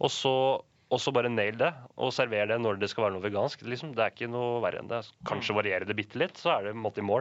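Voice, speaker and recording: Racing along at a very fast clip, a man talks with ordinary pitch variation. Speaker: radio co-host. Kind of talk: casual chat.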